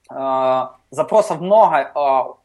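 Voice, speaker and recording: The speaker is a man. Ordinary variation marks his pitch. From Ukraine, Kharkiv. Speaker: software company CTO. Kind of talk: casual interview. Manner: many filler sounds.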